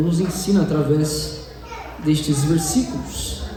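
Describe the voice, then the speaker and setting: Noticeable background noise and audible room echo surround the voice. A man speaks at a fairly high pitch. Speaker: lay preacher. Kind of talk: sermon. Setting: church service with microphone.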